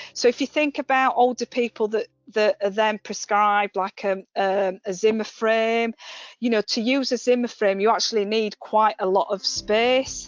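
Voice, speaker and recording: A woman with a West Yorkshire accent speaks at a moderate pace with fairly even intonation. Her pitch is fairly high, and music plays in the background. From West Yorkshire, England. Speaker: occupational therapist. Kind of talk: webinar presentation. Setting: online webinar. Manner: hesitant, with fillers.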